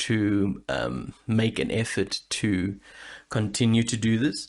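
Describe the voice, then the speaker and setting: Very slow, fairly low male speech with vocal fry, ordinary pitch variation and a quiet background. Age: 30s. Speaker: podcast host; aspiring voice actor and singer. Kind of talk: casual podcast monologue. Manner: hesitant, rambling.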